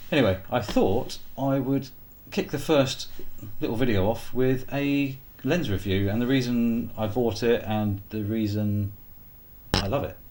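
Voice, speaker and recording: Amid audible room echo, a man with a Sussex accent speaks at a medium pitch with ordinary pitch variation. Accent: English, East Sussex. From England, East Sussex. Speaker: photographer. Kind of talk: casual vlog talk to camera. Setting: filming himself on camera. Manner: halting, many fillers.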